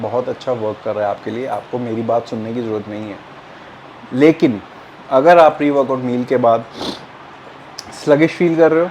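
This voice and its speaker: A man with a Punjabi accent talks at a moderate pace with ordinary pitch variation, over noticeable background noise. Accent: Punjabi-tinged Hindi. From Punjab, India (Jalandhar). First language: Punjabi (speaking Hindi). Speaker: fitness youtuber. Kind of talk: tutorial. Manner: casual, Hindi-English code-mixing with fillers.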